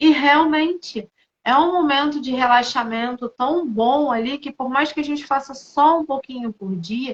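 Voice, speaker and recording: A woman with a Rio de Janeiro accent, in a dry, close sound with no echo. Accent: sounds carioca (Rio de Janeiro). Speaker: integrative therapist. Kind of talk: casual chat.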